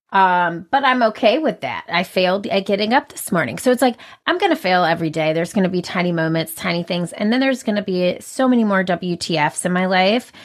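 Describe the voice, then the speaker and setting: In a very clean recording with a silent background, a woman with a medium pitch and an animated tone speaks very fast with lively intonation and hardly any pauses. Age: 30s. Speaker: business owner and speaker. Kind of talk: casual interview.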